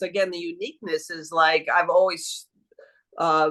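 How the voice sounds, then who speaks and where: The voice moves at a fairly quick pace in a bright, sharp tone. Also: woman. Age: 70s. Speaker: coaching client. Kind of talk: coaching session. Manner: halting, many fillers.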